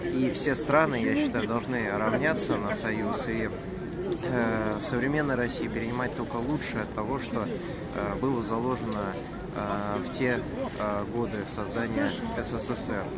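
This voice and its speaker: Over loud background noise, a man speaks at a fairly slow pace with long, frequent pauses and ordinary pitch variation, the sound dry with no echo. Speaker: interviewee. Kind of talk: interview answer. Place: street. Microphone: phone near.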